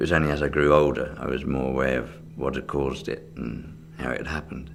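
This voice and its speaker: With a southern English accent, a man speaks at a moderate pace in a very deep, low pitch, with audible room echo and noticeable background noise. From England, Reading, Berkshire. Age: 60s. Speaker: magician. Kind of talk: interview. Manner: hesitant, with fillers.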